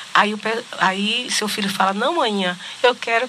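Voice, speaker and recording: Through noticeable background noise, a woman speaks fairly slowly at a medium pitch with ordinary pitch variation. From Salvador, Bahia, Brazil. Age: 50s. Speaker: political candidate and journalist. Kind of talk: interview. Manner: halting.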